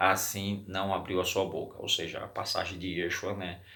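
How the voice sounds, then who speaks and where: A man speaks at a fairly slow pace. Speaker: religious teacher. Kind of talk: bible study. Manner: halting.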